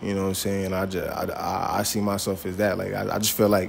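A man with an American accent and a fairly low pitch speaks at a very fast pace in a monotone, flat intonation over light background noise. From New York (Queens, Long Island), later Atlanta; New York. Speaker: rapper; interviewee. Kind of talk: casual interview. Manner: halting, many fillers. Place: shop. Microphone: handheld.

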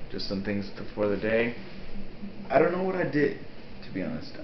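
A man talks with audible echo in the room. Light background noise runs underneath. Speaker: vlogger. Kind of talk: casual vlog chat. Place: home room. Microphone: webcam.

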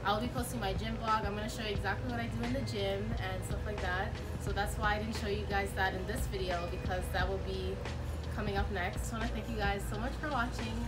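Over clear background music, a woman speaks at a fairly quick pace. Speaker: vlogger. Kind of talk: casual vlog chat. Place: street. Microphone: phone near.

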